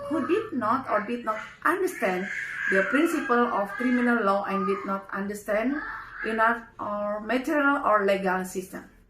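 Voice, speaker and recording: Amid noticeable background noise and audible room echo, a woman talks at a moderate pace, her fairly high voice swinging very widely in pitch. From Indonesia. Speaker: legal team spokesperson. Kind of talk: reading aloud with commentary. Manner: halting.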